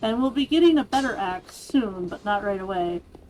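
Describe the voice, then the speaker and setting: A woman's fairly high voice at a moderate pace, with ordinary pitch variation and music in the background. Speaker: gaming video creator. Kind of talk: let's play commentary. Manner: casual, conversational.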